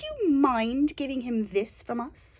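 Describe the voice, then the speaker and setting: At a fairly slow pace, the delivery comes in a put-on character voice. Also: woman. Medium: read story.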